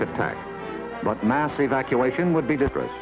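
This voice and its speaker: Music plays behind a man who speaks with an American accent. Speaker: newsman narrator. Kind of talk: documentary narration. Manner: measured.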